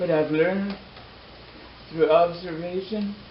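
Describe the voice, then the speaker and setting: A man's very slow speech with fairly even intonation, amid audible room echo and noticeable background noise. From Canada (First Nations). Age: 60s. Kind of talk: public talk. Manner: halting; impassioned.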